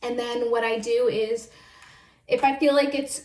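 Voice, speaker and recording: Over noticeable background noise, a woman with a high voice speaks at a moderate pace. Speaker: video blogger. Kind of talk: casual chat. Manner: casual, filler-heavy.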